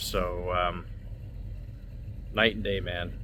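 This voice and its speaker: A man speaks with an American accent at a moderate pace. Audible echo from the room surrounds his voice. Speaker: car vlogger. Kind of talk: casual vlog talk to camera. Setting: outdoors, school parking lot. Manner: halting, stuttering.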